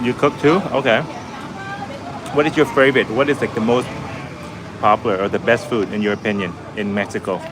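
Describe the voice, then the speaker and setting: A man with a slight Vietnamese accent, fairly quick between long, frequent pauses, music in the background. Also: medium pitch for a man, ordinary pitch variation. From Canada. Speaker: travel vlogger. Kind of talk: live-stream chat with viewers. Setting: restaurant balcony. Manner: casual, with many fillers.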